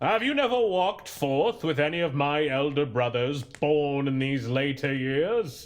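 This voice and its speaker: A man uses a put-on character voice at a fairly high pitch. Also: moderate pace. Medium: audio drama. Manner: hearty, genial.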